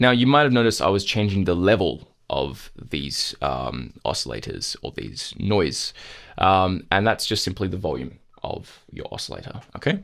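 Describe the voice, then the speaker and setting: On a very clean recording with a silent background, a man speaks in a very deep, low voice with vocal fry. His pitch swings very widely at a moderate pace. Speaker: music production tutor. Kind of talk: tutorial. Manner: casual, with many fillers.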